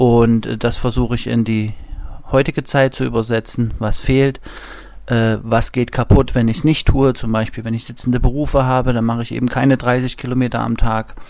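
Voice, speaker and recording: The speaker is a man with a medium-pitched voice. He talks at a moderate pace. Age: 30s. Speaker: physiotherapist. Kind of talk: interview.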